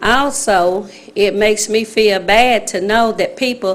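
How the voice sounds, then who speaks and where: The speaker has an Alabama accent and ordinary pitch variation. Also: woman. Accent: Southern US (Alabama). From US South, Alabama. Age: 60s. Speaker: resident speaking at public hearing. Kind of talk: public comment at city council meeting. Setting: city council chamber, at microphone. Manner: halting.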